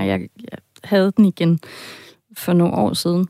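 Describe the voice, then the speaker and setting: A woman speaks fairly slowly, her voice dry and close with no echo, on a very clean recording with a silent background. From half German, half Danish. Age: 40s. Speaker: podcast editor, listener with a dream. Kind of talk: interview, personal account. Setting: radio studio.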